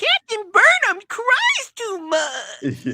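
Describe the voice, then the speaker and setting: The speaker uses a put-on character voice at an extremely high pitch. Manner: whiny, complaining.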